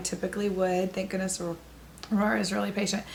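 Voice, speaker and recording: Noticeable background noise and audible room echo surround the recording. A woman speaks at a medium pitch with fairly even intonation. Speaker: travel podcaster. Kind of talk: casual video diary chat.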